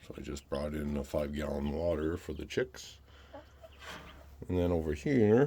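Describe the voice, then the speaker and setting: A man's very deep, low voice, somewhat breathy with a dark, mellow tone, at a moderate pace with fairly even intonation and long, frequent pauses. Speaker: homesteader vlogger. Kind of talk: casual vlog walkthrough.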